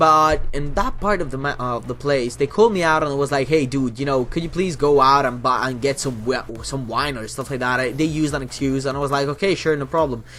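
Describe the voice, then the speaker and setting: Noticeable background noise sits behind a man speaking at a very fast pace with hardly any pauses. His pitch is fairly high, with ordinary variation. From Italy. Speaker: gaming YouTuber. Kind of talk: casual talk to camera. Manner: chatty, rambling.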